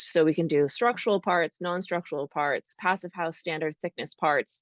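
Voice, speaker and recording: In a North American accent, a woman with an unremarkable speaking voice talks at a moderate pace and fairly low pitch, with fairly even intonation. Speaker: architecture robotics founder. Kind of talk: panel discussion.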